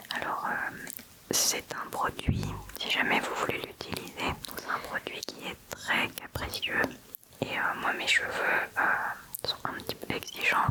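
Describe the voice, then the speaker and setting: With noticeable noise in the background, a woman whispers very slowly. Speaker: ASMR content creator. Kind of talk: casual ASMR chat talking to the camera about her travel bag and skincare. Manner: whispered, soft-spoken.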